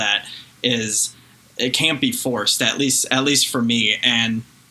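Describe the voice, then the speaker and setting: Monotone, flat speech from a man at a medium pitch and moderate pace, amid noticeable background noise. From France then Chicago. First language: French. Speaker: singer. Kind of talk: interview. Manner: halting, repeats words.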